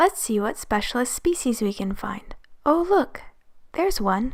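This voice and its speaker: Her pace moderate, a woman talks in an ordinary speaking voice. She has lively intonation and a fairly high pitch. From Canada. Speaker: amateur naturalist. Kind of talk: nature documentary narration.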